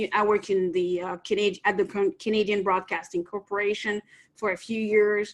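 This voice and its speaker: A woman with a French accent speaks at a moderate pace in a medium pitch. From France, Nancy. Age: 50s. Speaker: entrepreneur. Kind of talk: interview.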